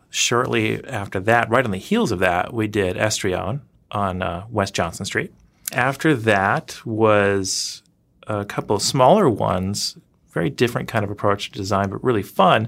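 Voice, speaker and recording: In an American accent, a man with a fairly low pitch and vocal fry speaks at a fairly slow pace with ordinary pitch variation, on a very clean recording with a silent background. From US South (Louisiana and Georgia). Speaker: architect and designer. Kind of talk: interview. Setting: studio.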